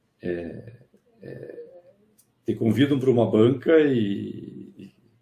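A man speaks in a somewhat breathy voice with a dark, mellow tone. His pitch variation is ordinary. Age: 60s. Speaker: engineering professor. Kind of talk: interview on a live stream. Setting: online live stream.

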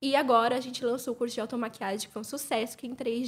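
A woman speaks in a normal speaking voice at a fairly high pitch. Her intonation is fairly even. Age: 20s. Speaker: beauty entrepreneur. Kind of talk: casual chat.

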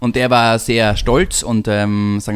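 This man has an ordinary speaking voice with a medium pitch. His intonation stays fairly even. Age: 30s. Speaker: family business executive. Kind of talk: interview. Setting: home kitchen.

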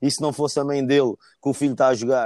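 Recorded very cleanly against a silent background, a man with a dark, mellow tone speaks at a fairly quick pace in a dry, close sound with no echo. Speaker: football fan. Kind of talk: casual chat.

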